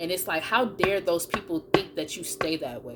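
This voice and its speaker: A woman with a fairly low pitch speaks in an animated tone with lively intonation as music plays in the background. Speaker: tarot card reader. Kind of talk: collective tarot reading.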